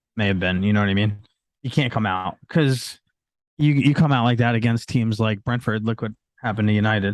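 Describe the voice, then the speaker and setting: In a plain, everyday voice, a man speaks fairly quickly at a medium pitch with ordinary pitch variation against a quiet background. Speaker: football podcast guest. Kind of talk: casual podcast discussion.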